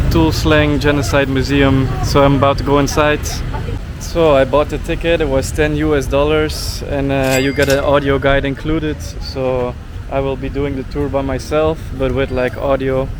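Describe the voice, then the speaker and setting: Speaking with a Dutch accent, a man is heard amid noticeable background noise and audible room echo. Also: moderate pace. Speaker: travel vlogger. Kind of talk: travel vlog. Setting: outdoors, museum, tuk-tuk.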